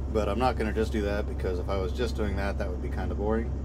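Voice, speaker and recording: Loud background noise accompanies a man who speaks at a fairly quick pace. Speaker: vlogger. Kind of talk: casual vlog chat. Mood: calm, somewhat subdued. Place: farm machine. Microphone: lapel.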